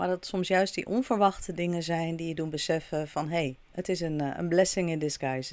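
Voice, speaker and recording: A woman with a normal speaking voice talks at a fairly quick pace in a fairly low pitch, with ordinary pitch variation, in a very clean recording with a silent background. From Netherlands. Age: 40s. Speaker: podcast host. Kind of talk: solo podcast monologue.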